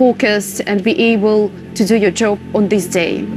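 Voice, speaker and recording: Over music in the background, a woman with a Ukrainian accent speaks at a fairly slow pace. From Ukraine. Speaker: war correspondent. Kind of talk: documentary testimony. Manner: halting, with hesitations.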